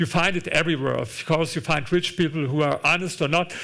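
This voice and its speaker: At a moderate pace, a man with a German accent speaks at a fairly high pitch with vocal fry and fairly even intonation. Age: 60s. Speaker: author and investor. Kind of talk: onstage conversation. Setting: auditorium with audience. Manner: halting, repeats words.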